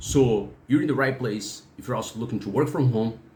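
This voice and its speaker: A man's somewhat breathy voice with lively intonation and audible room echo. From Brazil. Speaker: freelancer and YouTuber. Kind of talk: channel intro talk. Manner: halting, with fillers.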